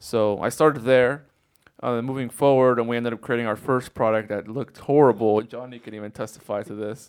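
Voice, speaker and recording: Here is a man with an unremarkable speaking voice at a medium pitch. He moves at a fairly quick pace with fairly even intonation. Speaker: product designer and sewer. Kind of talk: casual interview chat.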